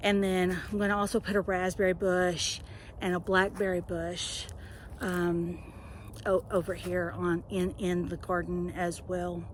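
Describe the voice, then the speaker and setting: Fairly slow, monotone, flat delivery from a woman with a fairly low pitch and a Southern US accent. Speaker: home gardener. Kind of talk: casual talk to camera. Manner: hesitant, conversational.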